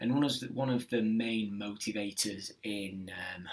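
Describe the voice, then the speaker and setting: The man's intonation stays fairly even, though background noise is noticeable. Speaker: teacher. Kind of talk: tutorial. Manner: casual; fast.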